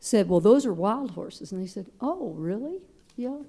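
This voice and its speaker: A woman talks with lively intonation at a medium pitch. Her tone is dark and mellow. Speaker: advisory board member. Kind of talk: board meeting discussion.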